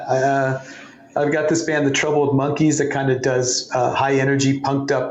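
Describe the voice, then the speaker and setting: Audible room echo and noticeable background noise accompany a man as he talks at a moderate tempo. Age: 60s. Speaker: former magazine editor and guitarist. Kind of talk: interview. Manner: animated.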